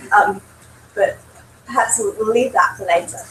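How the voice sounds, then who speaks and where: A woman's pitch swings very widely while noticeable background noise is present. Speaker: professor. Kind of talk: lecture.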